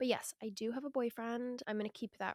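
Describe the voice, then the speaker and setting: The voice has an American accent and a moderate pace. The sound is dry and close, with no echo. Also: woman. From US West Coast, Seattle. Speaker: podcast host. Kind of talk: casual solo podcast talk.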